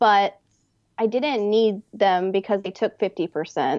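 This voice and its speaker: With an American accent, a woman speaks in a normal speaking voice. Her pitch is medium and her pace moderate. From Texas. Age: young. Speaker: artist. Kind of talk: interview conversation.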